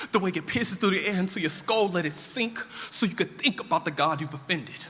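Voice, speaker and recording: Over noticeable background noise, a man with a high-pitched voice talks at a very fast pace in a raised, projected voice, with an intense tone and ordinary pitch variation. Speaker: spoken word poet. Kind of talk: spoken word poetry performance. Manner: intense, rousing.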